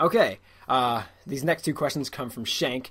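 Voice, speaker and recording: With an American accent, a man talks at a medium pitch with ordinary pitch variation. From Massachusetts, US. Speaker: gaming YouTuber answering viewer questions. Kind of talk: casual Q&A vlog. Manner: fast; hesitant, many fillers.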